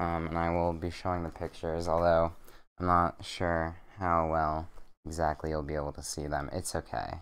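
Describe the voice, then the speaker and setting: Over a quiet background, a man talks at a moderate pace in a very deep, low pitch. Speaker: streamer. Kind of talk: casual chat. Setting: bedroom stream setup. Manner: monotone.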